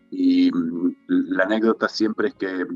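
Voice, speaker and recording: Music plays in the background behind a man. The sound is dry and close, with no echo. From Tierra del Fuego, Argentina. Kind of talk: interview answer.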